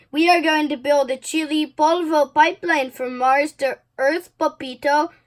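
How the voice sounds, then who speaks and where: A woman talks at a moderate pace in a high pitch. She uses a put-on character voice. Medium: read story.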